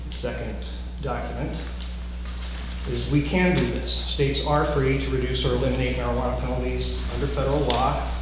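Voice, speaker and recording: A man speaks at a moderate pace in a very deep, low pitch and a monotone, flat intonation, with strong room echo and noticeable background noise. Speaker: drug policy advocate. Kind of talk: legislative testimony. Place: meeting room. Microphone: camera far.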